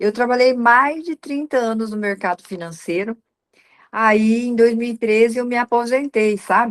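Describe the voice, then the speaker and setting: In an ordinary speaking voice, a woman speaks at a fairly high pitch. She keeps a fairly slow pace with ordinary pitch variation. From Paraná, Brazil (Assaí). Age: 60s. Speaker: professional organizer. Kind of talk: interview testimony.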